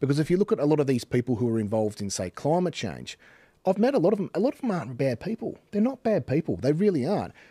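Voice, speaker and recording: A man with an Australian accent talks very fast in a dark, mellow tone, his pitch swinging very widely, recorded dry with no echo against a quiet background. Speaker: podcast host or commentator. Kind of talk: casual chat. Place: studio. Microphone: studio mic.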